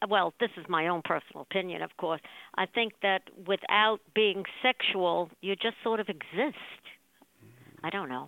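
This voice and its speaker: A woman talks at a moderate pace and a medium pitch. Her voice has vocal fry and ordinary pitch variation. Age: 70s. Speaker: interviewee. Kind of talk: interview.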